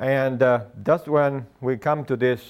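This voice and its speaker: A man with a Spanish accent on a very clean recording with a silent background. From Argentina. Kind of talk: lecture. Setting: stage with audience. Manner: halting.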